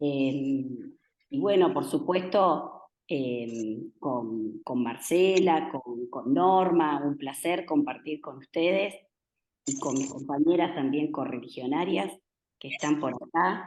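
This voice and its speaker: Very slowly, a woman with a very deep, low pitch speaks with lively intonation. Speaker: national legislator. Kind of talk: talk to an audience.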